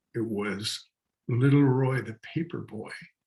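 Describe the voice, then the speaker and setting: Somewhat breathy, the voice moves at a very slow pace. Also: man. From northern British Columbia, Canada. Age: 70s. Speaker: artist. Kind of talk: storytelling talk. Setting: outdoors.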